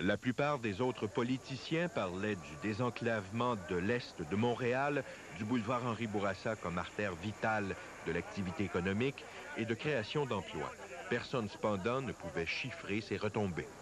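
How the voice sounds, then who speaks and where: There is noticeable background noise behind a man talking. His pitch is fairly low, with ordinary variation. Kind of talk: TV news reporting, scripted voice-over. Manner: formal, measured newsreading pace.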